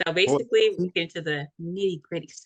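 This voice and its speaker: A woman with an ordinary speaking voice talks at a moderate pace and a fairly low pitch, with ordinary pitch variation and a dry, close sound with no echo. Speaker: podcast host. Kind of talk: casual podcast interview questions.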